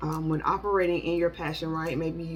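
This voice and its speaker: Over music in the background, a woman talks fairly quickly at a fairly low pitch in a monotone, flat delivery. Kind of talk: tarot reading monologue. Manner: fast; halting with many fillers.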